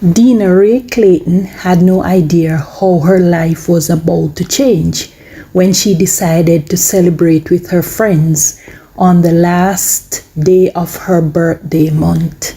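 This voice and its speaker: A woman's fairly low voice at a very slow pace, with fairly even intonation and very even loudness, amid noticeable background noise. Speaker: news narrator. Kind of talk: news narration.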